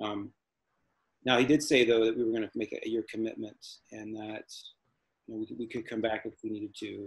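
This man speaks at a fairly quick pace with long, frequent pauses and big swings in loudness. His intonation is monotone and flat over a quiet background. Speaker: missionary. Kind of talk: casual interview. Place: home room. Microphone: video call.

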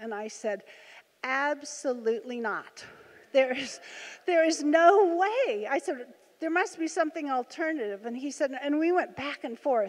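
A high-pitched woman at a fairly slow pace over a quiet background. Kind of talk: personal testimony to audience. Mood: earnest storytelling. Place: hall. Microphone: handheld.

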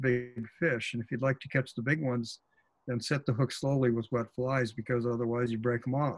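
This man has an American accent. His voice is somewhat breathy. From Oregon coast, US Pacific Northwest; Oregon. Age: 70s. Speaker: fly fishing author and expert; presenter. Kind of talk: webinar presentation. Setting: video call. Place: office. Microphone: webcam.

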